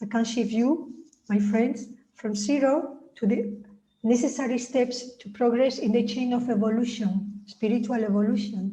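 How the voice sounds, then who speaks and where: A woman with a dark, mellow tone and a fairly high pitch speaks at a moderate pace. Her intonation is fairly even, and there is audible room echo. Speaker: spiritual author. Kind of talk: reading aloud. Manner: droning.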